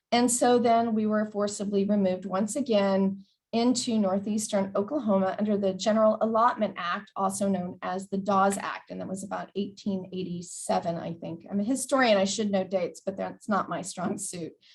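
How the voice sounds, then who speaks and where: The speaker has an American accent, a somewhat breathy sound and fairly even intonation, moving at a moderate pace with hardly any pauses. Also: woman, medium pitch for a woman. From Texas border, Del Rio. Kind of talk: presentation.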